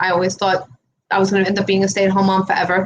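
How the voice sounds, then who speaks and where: A medium-pitched woman with a strong New York accent. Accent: New York accent, still strong. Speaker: real estate investor. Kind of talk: interview conversation. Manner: animated.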